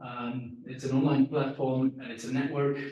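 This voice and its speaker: Audible room echo surrounds a man whose medium-pitched voice is somewhat breathy. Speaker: packaging technologist presenting. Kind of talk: conference presentation. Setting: press conference room with online audience. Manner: fast.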